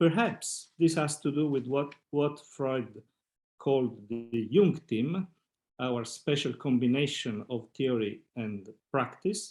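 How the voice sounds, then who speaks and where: A man with an Italian accent at a very slow pace, ordinary pitch variation, on a very clean recording with a silent background. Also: medium pitch for a man. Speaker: psychoanalyst. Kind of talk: reading aloud. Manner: halting.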